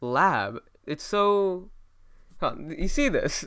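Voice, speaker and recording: A man with lively intonation on a very clean recording with a silent background. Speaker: gaming youtuber. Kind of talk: casual video commentary. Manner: loud; halting, many fillers.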